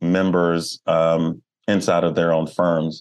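Very slowly, a man with an American accent speaks. His pitch is very deep and low, over a quiet background. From Baltimore, US. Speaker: animal welfare nonprofit director and wildlife photographer. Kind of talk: interview conversation.

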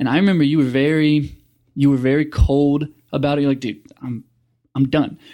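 The recording is very clean, with a silent background. A man talks at a fairly quick pace in a dark, mellow tone with fairly even intonation. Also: fairly high pitch for a man. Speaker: podcast host. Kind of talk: casual interview chat.

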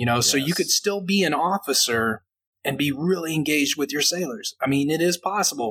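An unremarkable speaking voice, a man's at a fairly high pitch, moves at a fairly quick pace with ordinary pitch variation and very even loudness in a dry, close sound with no echo. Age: 30s. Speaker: navy chief petty officer. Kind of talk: casual chat.

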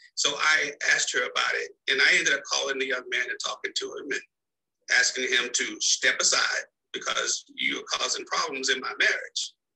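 A man with a Texan accent at a fairly quick pace. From Dallas, Texas. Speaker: marriage coach. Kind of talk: interview.

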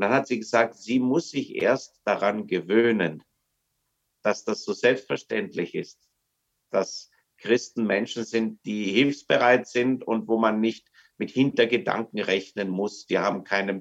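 A man with a plain, everyday voice talks at a medium pitch. His pace is fairly slow, with ordinary pitch variation. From Germany. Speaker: missionary. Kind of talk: casual chat. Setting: video call.

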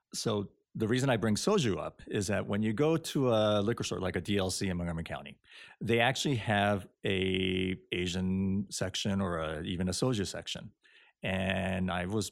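In a very clean recording with a silent background, a man speaks with a very deep, low voice and ordinary pitch variation. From Japan. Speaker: spirits producer. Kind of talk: interview.

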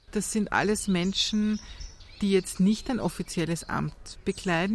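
A woman's somewhat breathy voice carries fairly even intonation. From Austria, Vienna. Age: 50s. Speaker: journalist and author. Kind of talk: interview. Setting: outdoors in a courtyard.

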